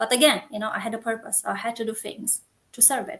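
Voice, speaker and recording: In a Romanian accent, a woman speaks at a moderate pace in a fairly high pitch with fairly even intonation. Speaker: coach and community founder. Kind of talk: interview. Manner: halting.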